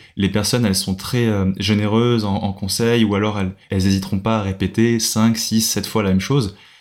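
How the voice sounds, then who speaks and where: A fairly low-pitched man at a fairly quick pace, monotone, with flat intonation. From France, Paris. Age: 20s. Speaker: backpacker and freelance videographer. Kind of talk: casual interview. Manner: hesitant, many fillers.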